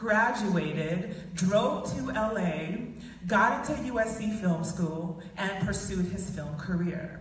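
A woman speaks slowly at a medium pitch with lively intonation, and the room echoes strongly.

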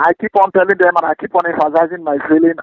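A man with a Niger Delta accent speaks at a fairly quick pace in a high voice. The sound is dry, with no echo. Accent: Nigerian (Ijaw) English. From Nigeria, Niger Delta. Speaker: militant leader. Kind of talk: phone interview. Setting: phone call. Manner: confident. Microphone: phone line.

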